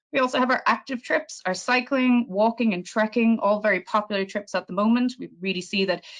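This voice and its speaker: A woman speaks fairly quickly in an Irish accent, with ordinary pitch variation. The background is quiet. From Ireland. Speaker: tour operator representative. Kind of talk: sales presentation. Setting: virtual presentation.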